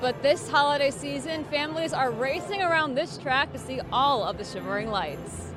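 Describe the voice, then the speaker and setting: An American woman talks at a moderate pace in an American accent, her voice high with lively intonation. Music plays in the background. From Connecticut, USA. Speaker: television news anchor and reporter. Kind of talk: morning TV news anchor read.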